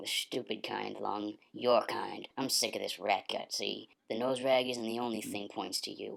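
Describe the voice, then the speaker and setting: Put on as a character voice, the delivery is raspy, sits at a low-to-middle pitch and moves at a moderate pace. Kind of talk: radio drama dialogue. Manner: aggressive, menacing.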